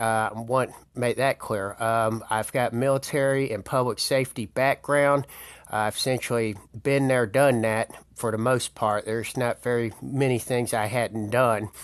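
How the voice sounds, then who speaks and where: A man with a Southern US accent speaks at medium pitch and a moderate pace, with monotone, flat intonation. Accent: Southern US (Georgia). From Georgia, US South (Marietta). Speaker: political candidate. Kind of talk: campaign appeal. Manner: halting, many fillers.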